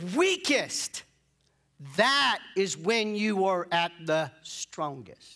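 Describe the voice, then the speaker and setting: A man projects a raised voice with a bright, sharp tone. His pitch swings very widely. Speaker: pastor. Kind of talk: sermon. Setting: church with congregation. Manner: restrained, less energetic than usual; repetitive call-and-response.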